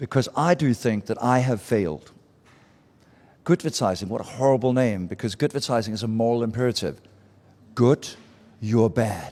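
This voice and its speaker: A man speaks with a Danish accent at a fairly quick pace. The recording is very clean, with a silent background. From Denmark. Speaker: marketing speaker and author. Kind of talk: live talk to audience. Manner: casual, conversational.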